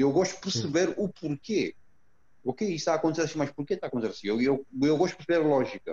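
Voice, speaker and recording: Speaking very fast with lively intonation, a man with a Romanian accent has a fairly high pitch and a dark, mellow tone. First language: Romanian (speaking Portuguese). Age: 40s. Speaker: former canoeist and entrepreneur. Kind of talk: interview. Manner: halting.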